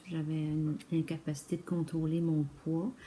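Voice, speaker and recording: A woman's fairly low voice comes across as dark and mellow, and somewhat breathy. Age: 60s. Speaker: retired accountant, client testimonial. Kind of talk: testimony. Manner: halting, many hesitations.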